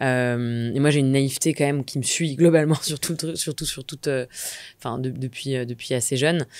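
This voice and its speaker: A woman speaks in a very deep, low pitch with fairly even intonation. The recording is dry with no echo and a quiet background. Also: moderate pace. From Normandy, France (Rouen); Normandy, France. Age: 30s. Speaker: entrepreneur, community founder; podcast guest. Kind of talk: interview. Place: studio. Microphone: studio mic.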